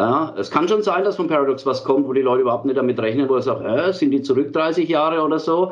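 A man talks at a very fast pace with hardly any pauses, a fairly high pitch and ordinary pitch variation. His loudness stays very even over noticeable background noise. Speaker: metal band singer and leader. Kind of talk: casual interview. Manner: halting.

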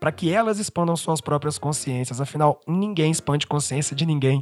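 Music sits in the background while a man talks with fairly high pitch and ordinary pitch variation, the sound dry and close with no echo. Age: 20s. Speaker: solo podcaster. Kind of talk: personal monologue.

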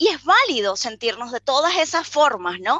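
This woman talks at a fairly slow pace. Her delivery is unhurried. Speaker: life coach. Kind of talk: interview conversation.

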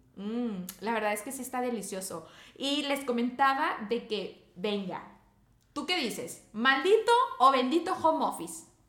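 A woman's high-pitched voice at a fairly slow pace, with audible room echo. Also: lively intonation. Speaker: podcast co-host. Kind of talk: casual chat.

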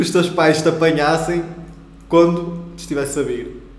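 In a room with audible echo and noticeable background noise, a man speaks at a high pitch. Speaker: podcast co-host. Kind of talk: casual chat.

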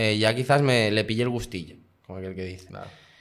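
The recording carries audible room echo. A man speaks at a medium pitch with ordinary pitch variation. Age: 20s. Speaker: guest sharing personal experience. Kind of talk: casual interview.

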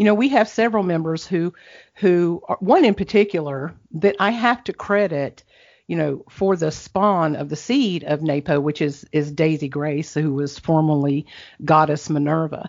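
Using an ordinary speaking voice, a woman talks at a fairly slow pace with a fairly low pitch and lively intonation. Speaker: online poetry event organizer. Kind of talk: interview.

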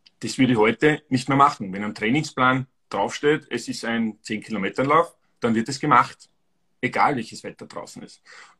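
With an Austrian accent, a man speaks at medium pitch and a moderate pace in a bright, sharp tone, with ordinary pitch variation and big swings in loudness. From Austria, Styria. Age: 40s. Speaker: amateur runner. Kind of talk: casual chat.

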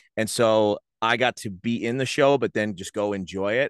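Against a quiet background, a man with an American accent and an ordinary speaking voice talks at fairly low pitch with ordinary pitch variation, in a dry, close sound with no echo. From New Jersey (Rahway). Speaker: sports announcer and in-game host. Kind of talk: casual interview chat.

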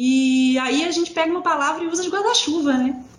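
A woman speaks at a moderate speed while noticeable background noise fills the recording. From Brazil, Belo Horizonte (Minas Gerais). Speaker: writer and freelance proofreader, former university lecturer. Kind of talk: casual conversation. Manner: halting, with repetitions and fillers.

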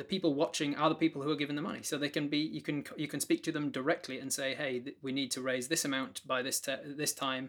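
Talking at a very fast pace with hardly any pauses, a man uses a fairly high pitch and a British accent. His intonation is monotone and flat, and the recording is very clean with a silent background. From Britain. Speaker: game master and streamer. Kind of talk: casual interview.

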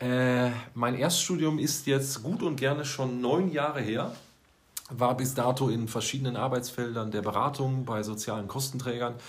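A man at medium pitch and a moderate pace, with ordinary pitch variation, audible room echo, and noticeable background noise. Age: 30s. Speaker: school social worker. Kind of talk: casual chat. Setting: office.

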